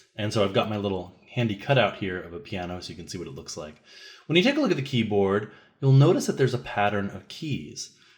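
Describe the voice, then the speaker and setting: A man with a fairly low, somewhat breathy voice talks at a very fast pace with lively intonation in a very clean recording with a silent background. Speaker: music teacher. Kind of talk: tutorial.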